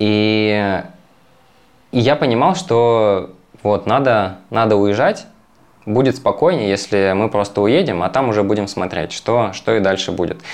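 Pausing long and often, a man speaks at a fairly slow pace and a fairly low pitch, with very even loudness and ordinary pitch variation. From Russian Far East, Magadan. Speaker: yoga teacher. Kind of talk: podcast interview.

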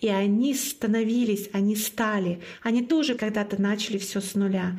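A woman's fairly high, somewhat breathy voice with a Komi accent, fairly even intonation and a moderate pace. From Komi Republic, northern Russia (Syktyvkar). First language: Komi (speaking Russian). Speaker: podcast host and marathon organizer. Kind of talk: casual interview chat.

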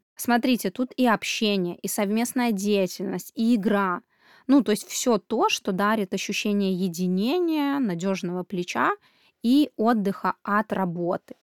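In a very clean recording with a silent background and a dry, close sound with no echo, a woman uses an ordinary speaking voice at medium pitch, with ordinary pitch variation and a fairly slow pace. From Belarus. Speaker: parenting podcast host. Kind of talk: podcast monologue.

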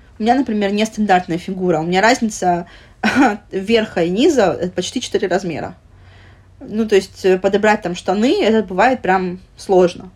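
Delivered at a moderate pace with ordinary pitch variation, the speech is interrupted by long, frequent pauses. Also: woman, medium pitch for a woman. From Russia, Vladivostok (Russian Far East). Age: 30s. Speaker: plus-size lifestyle blogger. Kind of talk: casual interview.

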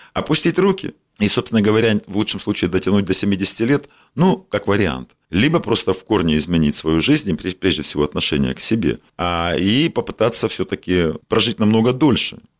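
A man talks at a moderate speed. The pitch of his voice swings very widely. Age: 50s. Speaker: doctor and medical business owner. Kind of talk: interview.

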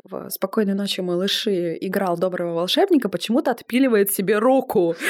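A woman at a medium pitch, animated in tone, with lively intonation, on a very clean recording with a silent background. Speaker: screenwriter and podcast host. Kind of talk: casual chat.

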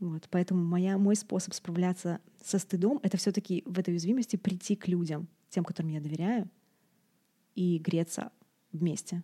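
In a dry, close sound with no echo, a woman with a medium-pitched, dark, mellow, somewhat breathy voice talks at a moderate pace with fairly even intonation and long, frequent pauses. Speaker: doula and podcast host. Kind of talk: casual chat. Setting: video call.

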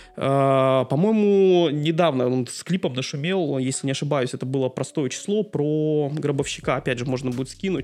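In a plain, everyday voice, a man with a fairly high pitch talks at a moderate pace, showing ordinary pitch variation and hardly any pauses. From Dudinka, northern Siberia, Russia. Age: 40s. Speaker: engineer and amateur photographer. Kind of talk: casual interview conversation.

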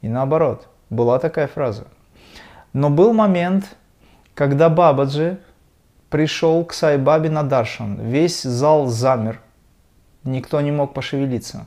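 Long, frequent pauses break up a man's very slow speech, his pitch fairly high and his tone dark and mellow with ordinary pitch variation. The recording is very clean, with a silent background. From Dagestan, Russia. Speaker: kriya yoga teacher and musician. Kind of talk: spiritual conversation.

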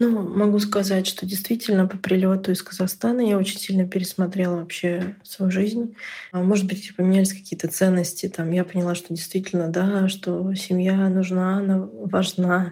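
A somewhat breathy woman's voice, dark and mellow in tone, with monotone, flat intonation. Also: medium pitch for a woman, moderate pace. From northern Russia. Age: 30s. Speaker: podcast listener sharing a personal story. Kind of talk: personal testimony.

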